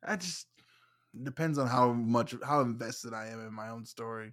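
A man with a normal speaking voice, medium pitch and fairly even intonation, in a very clean recording with a silent background. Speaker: movie podcaster. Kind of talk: casual chat.

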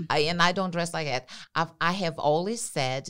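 The pitch moves in an ordinary way. The recording is very clean, with a silent background. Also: woman. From Brazil. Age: 50s. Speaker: interior designer and stylist. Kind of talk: casual interview.

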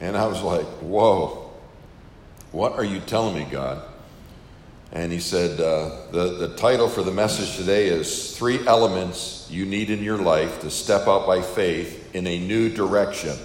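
A man with an American accent speaks in a very deep, low pitch. His pace is fairly slow, with audible room echo. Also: ordinary pitch variation. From Western New York, US. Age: 50s. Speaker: camp minister and preacher. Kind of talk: interview testimony.

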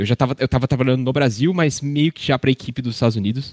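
An unremarkable speaking voice from a man, medium in pitch with ordinary pitch variation, dry and close with no echo, on a very clean recording with a silent background. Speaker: airline pilot. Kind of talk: casual chat.

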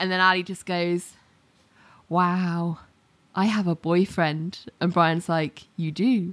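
Speaking very slowly with long, frequent pauses, a woman with a British accent uses a monotone, flat intonation at a fairly low pitch in a very clean recording with a silent background. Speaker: podcast co-host. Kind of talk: casual chat.

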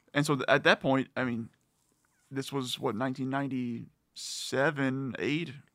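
Delivery is monotone and flat at a fairly slow pace. The recording is very clean, with a silent background. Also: man, medium pitch for a man. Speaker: music fan guest. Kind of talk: casual chat.

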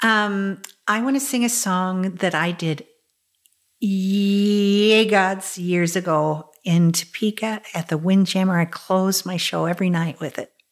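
In an American accent, a woman with a medium-pitched voice speaks at a fairly slow pace with ordinary pitch variation, on a very clean recording with a silent background. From Kansas, US Midwest. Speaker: stage actress and singer. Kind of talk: casual interview. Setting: at her home.

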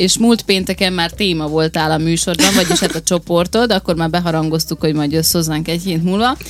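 Music sits in the background. Over it, a woman speaks at a fairly quick pace. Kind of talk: casual chat. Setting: studio.

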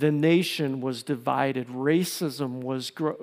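This very clean recording, with a silent background, captures a man's fairly high voice. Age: 50s. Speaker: pastor. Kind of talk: sermon. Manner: halting.

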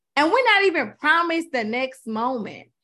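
A woman speaks in an animated way with a bright, sharp tone. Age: 30s. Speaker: author and minister. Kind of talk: casual chat.

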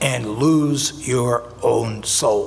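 Against noticeable background noise, a man speaks with an American accent. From US Northeast, North Jersey. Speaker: pastor. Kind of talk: sermon. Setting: church.

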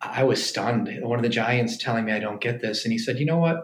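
A man's plain, everyday voice at medium pitch with fairly even intonation. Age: 50s. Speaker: pediatric orthopedic surgeon. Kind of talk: casual chat. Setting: hotel suite, in person.

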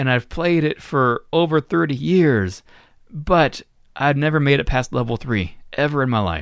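A man with an American accent uses an ordinary speaking voice, fairly high in pitch, with lively intonation. He speaks at a fairly slow pace, keeping his loudness very even. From Florida, US. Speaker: podcast host. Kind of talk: casual chat.

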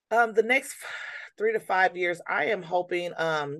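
A plain, everyday voice from a woman with an American accent, lively intonation and a quiet background. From Michigan (Niles), US Midwest. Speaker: nonprofit founder. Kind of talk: interview.

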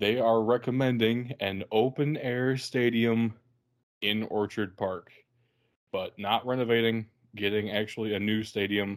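The intonation stays fairly even at a fairly slow pace. Long pauses come often. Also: man. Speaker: football podcast host. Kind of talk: casual banter, sports podcast.

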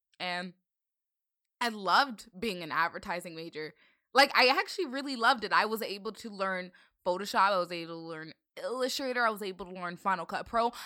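A woman's bright, sharp voice with an American accent, fairly quick pace, ordinary pitch variation and big swings in loudness, in a very clean recording with a silent background. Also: medium pitch for a woman. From Northern Virginia, US. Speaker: content creator. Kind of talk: casual chat.

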